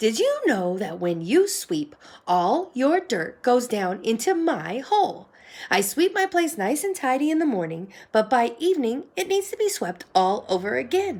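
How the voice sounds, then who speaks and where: A woman performs a put-on character voice, high in pitch with very wide pitch swings. She keeps a moderate pace in a very clean recording with a silent background. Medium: read story.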